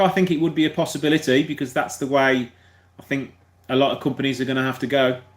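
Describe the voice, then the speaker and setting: A man with a Birmingham accent and ordinary pitch variation. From Birmingham, England. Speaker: car mechanic YouTuber. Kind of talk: live stream Q&A chat. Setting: live video stream. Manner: fast.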